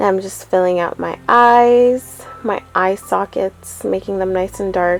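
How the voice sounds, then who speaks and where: A woman's medium-pitched voice, fairly even in intonation, at a fairly slow pace with hardly any pauses, music in the background. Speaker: makeup artist. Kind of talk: makeup tutorial voice-over.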